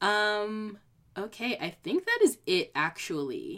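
Her speech is very slow and fairly high-pitched, with an American accent. The woman's pitch swings very widely. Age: 20s. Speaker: podcast host. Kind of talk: solo podcast monologue with advice. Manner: animated, encouraging.

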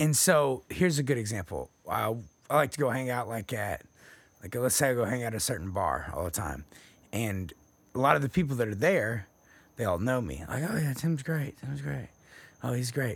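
In an American accent, a man with a medium pitch and vocal fry speaks at a moderate pace, his pitch swinging very widely between long, frequent pauses. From Texas. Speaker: podcast co-host. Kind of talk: casual chat.

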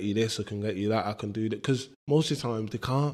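A man speaks with a Mancunian accent and lively intonation. The recording is very clean, with a silent background. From Manchester, northern England. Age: 20s. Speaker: footballer. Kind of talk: casual interview.

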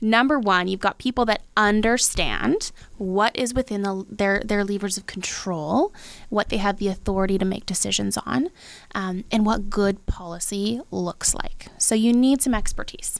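A woman with a Western Canadian accent speaks at a medium pitch and a moderate pace, with ordinary pitch variation. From Abbotsford, British Columbia, Canada. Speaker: sommelier and local politics candidate. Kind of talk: casual chat.

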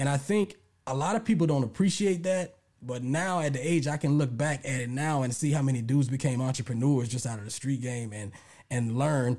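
A man with an American accent talks at a fairly quick pace, his fairly high, somewhat breathy voice dark and mellow in tone with lively intonation, all in a very clean recording with a silent background. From US South, Lake Charles, Louisiana. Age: 40s. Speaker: hip-hop historian and podcast creator. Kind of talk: casual interview.

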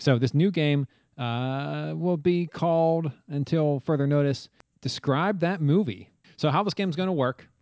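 The man has an animated tone and a fairly high pitch. He talks at a fairly slow pace with ordinary pitch variation. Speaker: podcast host. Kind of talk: game show banter. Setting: video call. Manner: animated, jokey.

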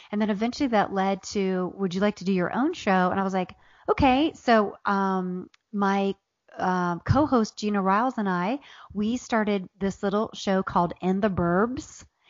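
An unremarkable speaking voice: a woman with an American accent at medium pitch, moderate speed and normal pitch movement. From Southern Ohio, Appalachia. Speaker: author and comedian. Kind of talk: casual interview chat.

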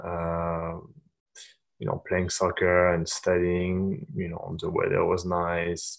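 A man speaks with a French accent. He talks at a very slow pace. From France, Paris. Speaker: sports agent. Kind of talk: casual interview.

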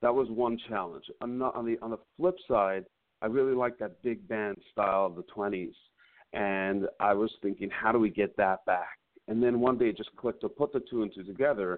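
Here is a man with a normal speaking voice at a medium pitch. He talks at a moderate pace with ordinary pitch variation. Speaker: cantor and singer. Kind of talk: interview. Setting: remote call.

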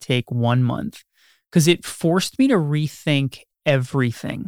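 A man's plain, everyday voice, fairly high in pitch, with ordinary pitch variation and a dry, close sound with no echo in a very clean recording against a silent background. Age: 30s. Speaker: realtor. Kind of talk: interview.

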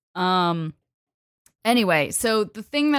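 On a very clean recording with a silent background, a woman sounds animated, her intonation lively. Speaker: podcast host. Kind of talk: casual chat.

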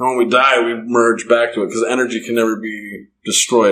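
At a fairly quick pace, a man with an American accent speaks in a bright, sharp tone at medium pitch. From US Mountain West (Bear Lake, Idaho). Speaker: musician. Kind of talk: casual interview.

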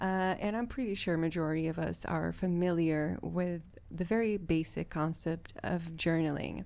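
A woman with a fairly low pitch and a dark, mellow tone speaks at a moderate pace. Her loudness is very even and her intonation fairly even. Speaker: solo podcast host. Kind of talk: casual monologue. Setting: home recording. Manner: frequent laughter and fillers.

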